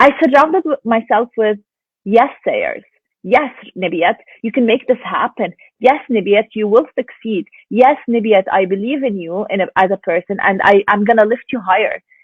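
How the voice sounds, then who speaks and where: A woman with a Lebanese accent talks at a moderate pace in a fairly high pitch. Her tone is animated, with ordinary pitch variation. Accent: Lebanese Arabic accent, noticeable. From Lebanon. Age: 20s. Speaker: stay-at-home mom and online business owner. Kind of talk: interview.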